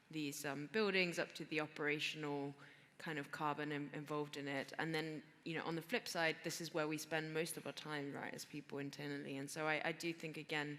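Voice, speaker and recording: Bright and sharp in tone yet very deep and low, a woman's voice moves at a fairly quick pace with monotone, flat intonation. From Greece. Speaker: venture capital investor. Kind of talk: panel discussion. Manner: halting, many fillers and repeats.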